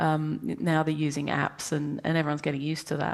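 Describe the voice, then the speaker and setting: At a fairly quick pace, a woman talks in a British accent. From England. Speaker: professor and science communicator. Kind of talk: interview. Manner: hesitant, many fillers.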